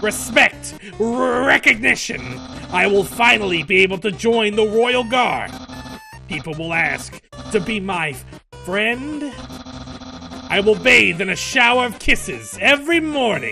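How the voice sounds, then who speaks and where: Clear music plays in the background as a man, in a high-pitched put-on character voice, talks at a fairly slow pace. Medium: role play. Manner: loud, grandiose.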